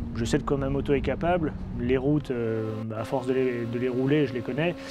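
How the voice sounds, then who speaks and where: At a fairly quick pace, a man talks at a medium pitch with ordinary pitch variation. Noticeable background noise and audible room echo are present. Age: 30s. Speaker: motorcycle road racer. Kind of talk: interview. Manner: hesitant, many fillers.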